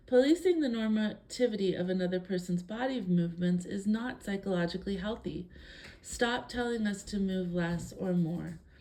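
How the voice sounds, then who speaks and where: The voice has a dark, mellow, calm tone, a somewhat breathy quality and ordinary pitch variation. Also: woman, medium pitch for a woman, moderate pace. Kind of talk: reading aloud a personal statement.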